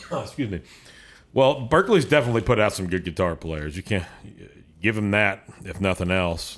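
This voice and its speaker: Speaking fairly quickly with an American accent, a man uses a fairly low pitch and lively intonation, broken by long, frequent pauses. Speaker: podcast host. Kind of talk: casual chat. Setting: road remote recording away from home studio.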